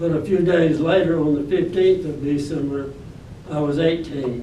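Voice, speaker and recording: Amid noticeable background noise and audible room echo, a man with an Alabama accent speaks at a fairly slow pace. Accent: Southern US (Alabama). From US South, Alabama (Birmingham). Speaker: war veteran. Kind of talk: testimony. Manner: halting.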